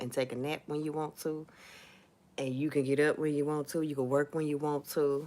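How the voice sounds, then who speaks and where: Here a woman talks at a moderate pace. Her voice has a very deep, low pitch. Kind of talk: casual livestream talk. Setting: livestream from home.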